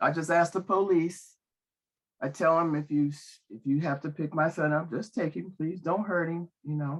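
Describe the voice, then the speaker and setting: Against a quiet background, a woman speaks at a moderate pace with a fairly low pitch and fairly even intonation. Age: 60s. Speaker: public commenter, parent. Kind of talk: public comment. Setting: video call. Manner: halting.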